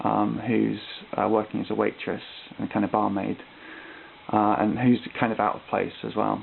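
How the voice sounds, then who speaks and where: A man speaks at a moderate pace while noticeable background noise carries on. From Britain. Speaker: art student. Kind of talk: recorded class presentation. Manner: hesitant, many ums and uhs.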